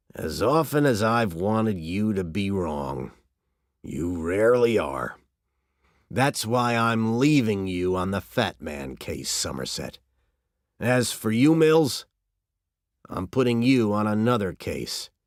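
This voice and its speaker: Using a put-on character voice with very wide pitch swings, a man with a fairly low pitch speaks with long, frequent pauses in a very clean recording with a silent background. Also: fairly slow pace. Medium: read story. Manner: sharp, blunt.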